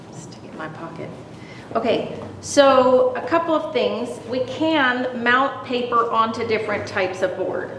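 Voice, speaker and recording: A woman with a high pitch speaks fairly slowly, her intonation lively and her loudness swinging widely. Noticeable background noise and audible room echo fill the recording. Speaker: presenter, watercolor artist. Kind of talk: demonstration.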